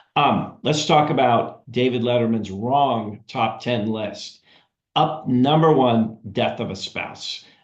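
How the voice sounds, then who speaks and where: Against audible room echo, a man talks at a fairly slow pace with ordinary pitch variation. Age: 60s. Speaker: financial advisory consultant. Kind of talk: webinar presentation. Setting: video call webinar.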